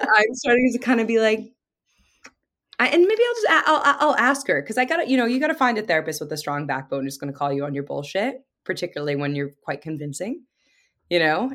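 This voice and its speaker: Animated and very fast, the voice has very wide pitch swings and vocal fry. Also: woman, fairly high pitch for a woman. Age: 30s. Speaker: podcaster and production company founder. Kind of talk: casual interview chat.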